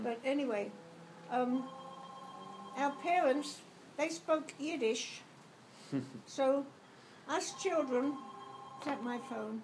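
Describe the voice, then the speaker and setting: Over noticeable background noise, a woman speaks very slowly in a high pitch with ordinary pitch variation and long, frequent pauses. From London, England. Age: 80s+. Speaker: grandmother. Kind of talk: interview answer.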